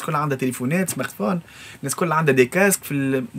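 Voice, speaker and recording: Lively intonation carries this delivery at a very fast pace. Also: man. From Tunisia, Sfax; Tunisia. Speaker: music composer and arranger. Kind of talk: interview. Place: studio.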